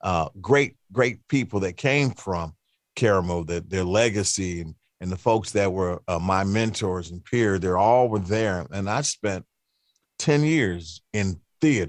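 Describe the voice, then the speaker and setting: A man with an American accent in a normal speaking voice, fairly slow and with lively intonation, against a quiet background. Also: fairly low pitch for a man. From Cleveland, Ohio. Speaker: radio host and musician. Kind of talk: casual interview chat.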